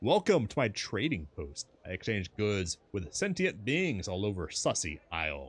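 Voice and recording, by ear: Reading aloud in a natural voice is what's heard here.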